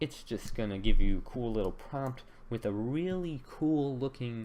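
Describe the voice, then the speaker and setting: A man's dark, mellow tone at a moderate pace. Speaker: software tutorial maker. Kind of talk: screen-recorded tutorial. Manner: casual, hesitant with fillers.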